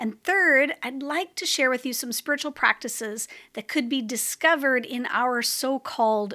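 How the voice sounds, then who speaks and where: A woman's high, bright, sharp voice with lively intonation and hardly any pauses, in a very clean recording against a silent background. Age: 50s. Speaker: spiritual practices podcast host. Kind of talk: solo reflective monologue.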